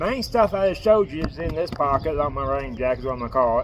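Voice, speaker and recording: Over noticeable background noise, a man speaks at a moderate pace with lively intonation. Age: 40s. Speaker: homeless traveler vlogger. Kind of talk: casual vlog showing gear. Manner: stutters; casual, hesitant.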